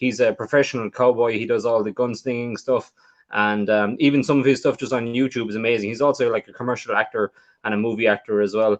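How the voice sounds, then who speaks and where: A man talks very fast at a medium pitch, with an Irish accent and fairly even intonation. The background is quiet. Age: 30s. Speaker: magician and podcast co-host. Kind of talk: casual chat.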